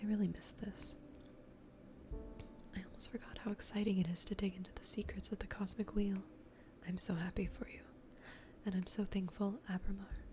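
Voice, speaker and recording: The speaker is soft-spoken and relaxed in tone, moving at a fairly quick pace. Long, frequent pauses break up the speech. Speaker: ASMR gaming content creator. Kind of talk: casual talk to camera, gameplay commentary. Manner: soft-spoken, relaxed.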